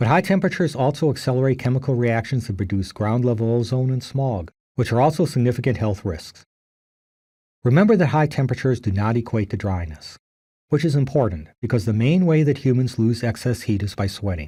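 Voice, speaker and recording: At a very fast pace, a man speaks with lively intonation in a somewhat breathy, dark, mellow tone. The recording is very clean, with a silent background. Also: medium pitch for a man. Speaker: geology professor. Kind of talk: recorded lecture.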